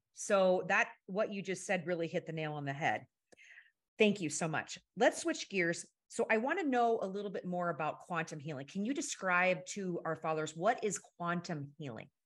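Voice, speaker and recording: A woman's ordinary speaking voice, lively in intonation, at a moderate pace, in a very clean recording with a silent background. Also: medium pitch for a woman. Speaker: podcast co-host. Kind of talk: interview conversation.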